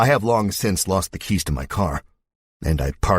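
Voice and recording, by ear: Over a quiet background, someone reads aloud in a natural voice with lively intonation.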